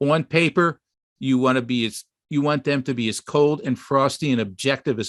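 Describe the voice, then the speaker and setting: With an unremarkable speaking voice, a man talks at a medium pitch with ordinary pitch variation in a dry, close sound with no echo. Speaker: web designer and online store owner. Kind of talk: webinar presentation.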